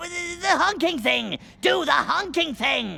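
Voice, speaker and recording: A cartoonish character voice speaks at a high pitch and a fairly slow pace. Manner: scheming.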